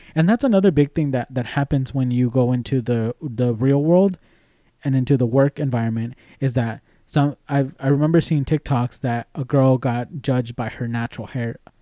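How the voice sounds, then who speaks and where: In a very clean recording with a silent background and dry, close sound with no echo, a speaker with a Spanish accent and a dark, mellow tone talks at a moderate pace with ordinary pitch variation. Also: man, medium pitch for a man. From Mexican background. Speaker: podcast co-host. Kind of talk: casual chat. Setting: recording studio.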